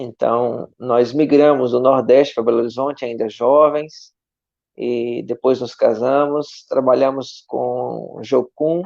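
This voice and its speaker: A man with a strong northeastern Brazilian accent speaks at a very slow pace with fairly even intonation. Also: medium pitch for a man. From Brazilian Northeast, Aracaju. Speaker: missionary pastor. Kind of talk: testimony in online church live stream. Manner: warm, conversational.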